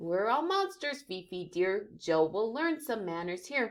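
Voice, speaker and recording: A woman uses a put-on character voice at a medium pitch. Her delivery is sing-song and fairly slow. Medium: read story. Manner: sing-song rhyming verse; warm, patient.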